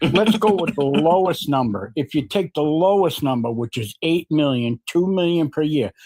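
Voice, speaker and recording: With an American accent and a plain, everyday voice, a man speaks at a moderate pace with hardly any pauses, using a fairly high pitch and lively intonation, the sound dry and close with no echo. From New York. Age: 60s. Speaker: caller on a political debate stream. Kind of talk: heated debate.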